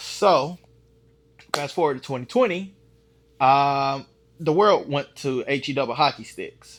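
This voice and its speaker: A man speaks with a Southern US accent and a fairly high pitch. His pace is fairly slow. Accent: country (Southern US). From Texas, Dallas. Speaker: firearms YouTuber, beginner shooter. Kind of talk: casual vlog chat. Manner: casual, hesitant with fillers.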